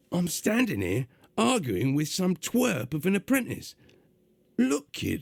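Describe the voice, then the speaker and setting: A gruff, put-on character voice in a London accent, at a fairly slow pace with very wide pitch swings. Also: man, fairly high pitch for a man. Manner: irritated, angry.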